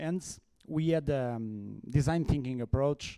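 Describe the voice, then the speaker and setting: A man's medium-pitched, dark and mellow voice with a non-native accent, ordinary pitch variation and a moderate pace, in a dry, close sound with no echo. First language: Portuguese. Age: 40s. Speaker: conference speaker. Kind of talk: conference talk. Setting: stage with audience. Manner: halting.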